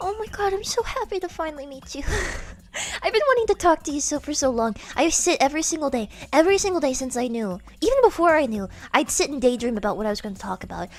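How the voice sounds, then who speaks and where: With noticeable background noise, a woman talks very fast in a high voice, her pitch swinging very widely and her loudness rising and falling in big swings. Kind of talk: gushing, rambling. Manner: excited, enthusiastic.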